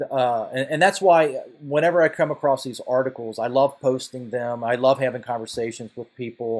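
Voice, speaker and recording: A man at medium pitch, moderate pace and hardly any pauses, with ordinary pitch variation, on a very clean recording with a silent background. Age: 50s. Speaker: finance video creator and note investor. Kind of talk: casual talking-head video. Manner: halting, many repetitions and fillers.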